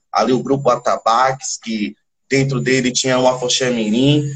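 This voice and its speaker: Somewhat breathy, a man speaks at a moderate pace and a medium pitch with fairly even intonation. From Salvador, Bahia, Brazil. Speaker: percussionist in a band. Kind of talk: interview. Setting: livestream.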